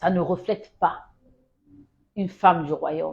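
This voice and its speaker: A woman speaks with a fairly low pitch and a dark, mellow tone. Her pitch variation is ordinary. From Congo. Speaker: Bible teacher. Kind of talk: Bible teaching livestream. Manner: exhortative, emphatic.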